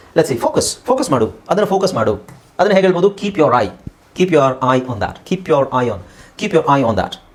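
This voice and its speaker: A man's high-pitched voice with very wide pitch swings over noticeable background noise. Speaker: English language teacher. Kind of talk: tutorial.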